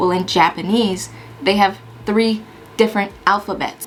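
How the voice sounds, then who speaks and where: There is noticeable background noise behind this recording. A woman speaks with fairly even intonation. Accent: American. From US Pacific Northwest (Washington). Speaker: Air Force firefighter and YouTuber. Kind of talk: casual Q&A vlog. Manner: casual, chatty.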